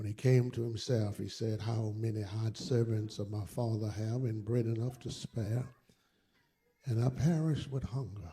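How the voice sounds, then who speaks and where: Somewhat breathy and dark, mellow in tone, a man talks with an American accent. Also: medium pitch for a man, fairly even intonation, moderate pace. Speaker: pastor. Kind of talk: scripture reading. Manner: passionate, vivid storytelling.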